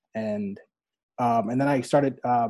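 A man's dark, mellow tone with an American accent. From New York City, Staten Island. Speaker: documentary cinematographer. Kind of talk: casual chat. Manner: halting, many fillers.

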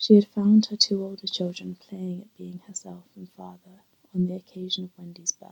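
This is a natural reading voice. It is heard on its own here.

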